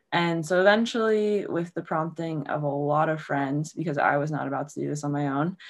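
Against a quiet background, a woman with an American accent speaks at a moderate pace in a very deep, low voice. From Maryland, Baltimore. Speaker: small business owner and lacrosse coach. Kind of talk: casual chat.

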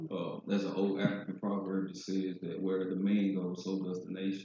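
The man's fairly low voice moves along at a moderate pace. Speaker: life coach. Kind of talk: panel discussion. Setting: live event with audience.

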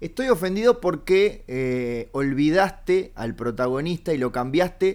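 A man with a Uruguayan accent, fairly high pitch and lively intonation. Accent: Rioplatense Spanish (Uruguayan). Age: 30s. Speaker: comedian podcast host. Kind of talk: casual comedic chat.

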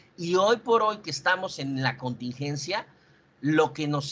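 Lively intonation carries this man's fairly high-pitched voice. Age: 40s. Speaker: insurance sales manager. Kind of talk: sales training presentation. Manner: halting.

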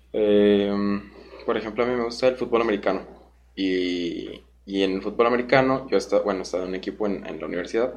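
A fairly low-pitched man at a very fast pace with fairly even intonation. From Guanajuato, Mexico. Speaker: podcast host, speedcuber. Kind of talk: casual interview.

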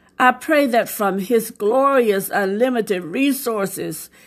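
A plain, everyday voice moves at a fairly slow pace. Pitch variation is ordinary, and the recording is very clean with a silent background. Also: woman. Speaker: devotional podcast preacher. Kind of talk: devotional sermon with scripture reading and fervent prayer. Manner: fervent, earnest, pleading prayer tone; warm, exhortative, preacherly.

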